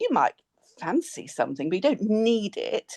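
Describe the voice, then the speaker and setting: A woman with an English accent has a dark, mellow tone, heard in a dry, close sound with no echo. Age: 60s. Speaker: former bariatric nurse. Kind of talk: interview testimony.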